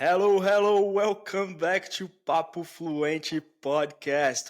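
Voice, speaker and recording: A man speaks at a very slow pace in a high pitch, his pitch varying in an ordinary way. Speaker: podcast host. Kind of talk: podcast host talk.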